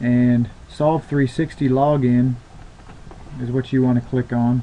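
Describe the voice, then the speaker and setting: Moderately paced speech from a man at a medium pitch, flat and monotone in intonation. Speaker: company trainer and tech support. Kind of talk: screen-share tutorial.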